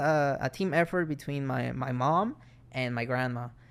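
A man speaks with a Mexican accent at a medium pitch. His pitch varies in an ordinary way. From Mexico. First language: Spanish. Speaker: film student, guest. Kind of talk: casual chat.

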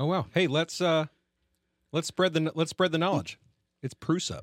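A man with a fairly high pitch and vocal fry is heard in a dry, close sound with no echo. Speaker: podcast host. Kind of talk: casual chat.

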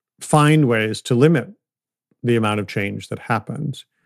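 A man with an American accent speaks at a moderate pace and medium pitch, a normal speaking voice. The recording is very clean, with a silent background and a dry, close sound with no echo. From US Midwest, outside Detroit, Michigan. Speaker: climate nonprofit founder, former finance executive. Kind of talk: interview conversation.

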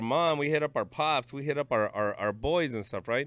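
A man's normal speaking voice, fairly high in pitch, at a fairly quick pace. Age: 30s. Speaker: psychiatric technician. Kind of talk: casual chat.

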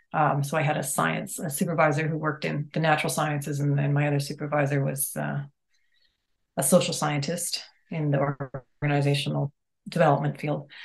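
A woman with a Western Canadian accent talks at a fairly quick pace in a very deep, low pitch. Her intonation is monotone and flat, with vocal fry. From Calgary, Alberta, Canada. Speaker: ecologist and environmental planner. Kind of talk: casual interview.

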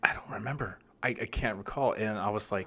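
In a normal speaking voice, a man with a fairly low pitch talks at a fairly quick pace. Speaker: film podcast host. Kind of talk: casual chat.

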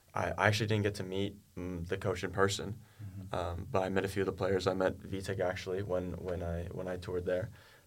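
Very deep, low pitch from a man with an American accent, monotone and flat, at a fairly quick pace, with audible room echo. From US, Oklahoma (Tulsa). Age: 20s. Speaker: university student tennis player. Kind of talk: interview.

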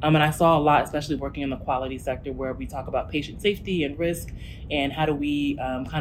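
Very fast speech from a woman with a very deep, low pitch and ordinary pitch variation, amid noticeable background noise and audible room echo. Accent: American. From New Jersey. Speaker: healthcare startup executive. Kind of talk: interview.

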